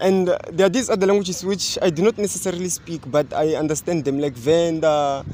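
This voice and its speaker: A man's high voice at a fairly quick pace, hardly any pauses, over noticeable background noise. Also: ordinary pitch variation. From South Africa. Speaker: university student. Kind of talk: casual interview chat.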